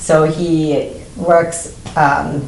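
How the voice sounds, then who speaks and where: A woman with a non-native accent, very deep and low in pitch, monotone and flat, amid audible room echo and noticeable background noise. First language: not English. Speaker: TV talk show host. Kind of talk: interview.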